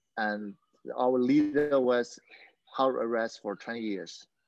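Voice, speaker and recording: Speaking at a very slow pace with a Burmese accent, a man keeps a medium pitch and ordinary pitch variation. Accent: Burmese accent, limited English. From Myanmar, Yangon. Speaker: mixed martial arts fighter. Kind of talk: interview. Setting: video call. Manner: halting.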